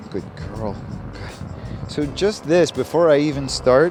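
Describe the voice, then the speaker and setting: Music plays in the background as a man speaks. He keeps a moderate pace and ordinary pitch variation. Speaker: dog trainer. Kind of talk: tutorial.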